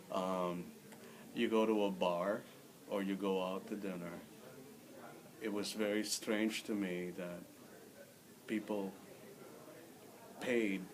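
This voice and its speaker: In a room with audible echo and noticeable background noise, a man with a Filipino accent speaks at a very slow pace with long, frequent pauses, his pitch fairly low and his intonation fairly even. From Philippines (Manila). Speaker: immigrant interviewee. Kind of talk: interview.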